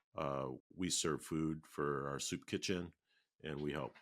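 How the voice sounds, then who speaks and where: This man, with an American accent, has a very deep, low pitch, vocal fry, and fairly even intonation. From Minneapolis, Minnesota. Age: 60s. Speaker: oral history interviewee. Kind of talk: oral history interview. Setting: video call. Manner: hesitant, with fillers.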